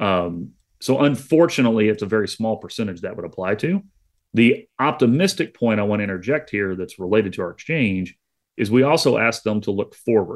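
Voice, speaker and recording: Here a man uses an unremarkable speaking voice at a fairly low pitch. He goes at a fairly quick pace over a quiet background. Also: lively intonation. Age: 40s. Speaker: agricultural economics professor. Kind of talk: radio interview.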